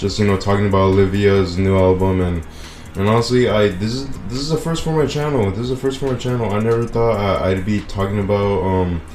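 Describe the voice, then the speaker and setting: A man with fairly low pitch at a very fast pace, audible room echo and noticeable background noise around him. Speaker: gaming YouTuber reviewing a music album. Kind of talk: casual video commentary. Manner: monotone; halting, many repeats and fillers.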